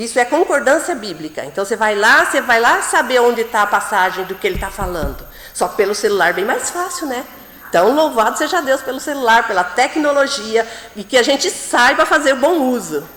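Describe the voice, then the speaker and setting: A woman speaks at a fairly quick pace in a high pitch, her pitch swinging very widely. Noticeable background noise and audible room echo fill the recording. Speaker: preacher. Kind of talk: sermon.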